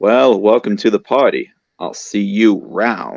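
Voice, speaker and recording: The pace is fairly slow. A man uses a put-on character voice at medium pitch. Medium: read story.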